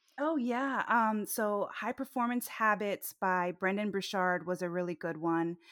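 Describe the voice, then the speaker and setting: In an American accent, the speaker talks at a fairly slow pace with ordinary pitch variation, and the very clean recording has a silent background and a dry, close sound with no echo. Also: woman. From Florida, US (Orlando), Colombian parents. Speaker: nurse practitioner and career coach. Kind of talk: interview conversation. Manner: halting.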